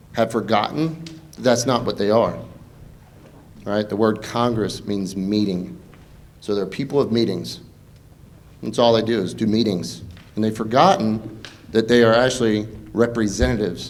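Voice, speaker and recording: A man speaks at a fairly low pitch with vocal fry, leaving long, frequent pauses. The room echo is audible. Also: ordinary pitch variation, moderate pace. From Eastern North Carolina, Pamlico County. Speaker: congressional candidate, army veteran. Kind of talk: campaign debate speech.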